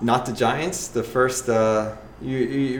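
There is audible room echo around a man whose medium pitch and fairly even intonation carry through. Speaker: podcast host. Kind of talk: casual chat.

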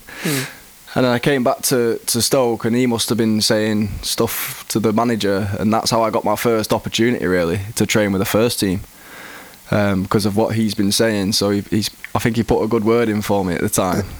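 A man with an English accent speaks at a fairly quick pace. His pitch is fairly low, and there is noticeable background noise. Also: fairly even intonation, very even loudness. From England. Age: 20s. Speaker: professional footballer. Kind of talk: interview.

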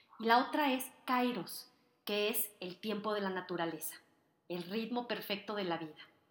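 At a moderate pace, a woman speaks in a plain, everyday voice with ordinary pitch variation. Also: medium pitch for a woman. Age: 40s. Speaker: author and motivational speaker hosting a podcast. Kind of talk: motivational monologue. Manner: warm, upbeat.

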